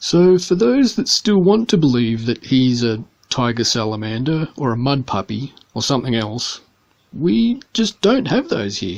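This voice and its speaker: With an Australian accent, a man talks at a fairly slow pace, his pitch swinging very widely. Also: medium pitch for a man. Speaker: pet keeper vlogger. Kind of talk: scripted narration.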